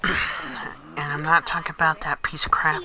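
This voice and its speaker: Noticeable noise surrounds a man who talks at a medium tempo. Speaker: hobbyist gaming YouTuber. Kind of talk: casual video game review. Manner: halting, filler-heavy.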